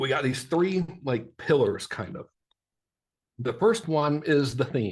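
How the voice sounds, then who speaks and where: Animated and somewhat breathy, a man speaks at a fairly high pitch with lively intonation and long, frequent pauses. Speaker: marketing workshop presenter. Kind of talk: live workshop presentation. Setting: livestream in private online group. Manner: fast.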